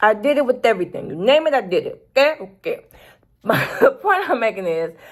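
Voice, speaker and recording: A woman talks at a fairly quick pace in an American accent, her pitch high. Her tone is animated, with very wide swings in pitch. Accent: Southern US accent, noticeable at the moment. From US South. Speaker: YouTuber, planner and productivity channel. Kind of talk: casual talk to camera. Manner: animated, conversational.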